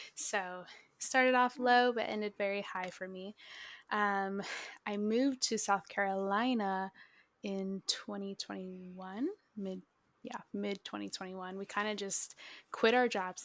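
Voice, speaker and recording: In a very clean recording with a silent background, an American woman with a plain, everyday voice speaks at a moderate pace and medium pitch, with fairly even intonation but big swings in loudness. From Minnesota. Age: 20s. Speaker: photographer. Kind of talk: casual chat.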